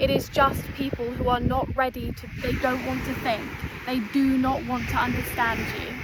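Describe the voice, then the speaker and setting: Amid noticeable background noise and audible room echo, a woman with a high pitch speaks at a moderate pace in a monotone, flat intonation. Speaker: self-development content creator. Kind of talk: direct-to-camera talk. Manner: emphatic, repetitive.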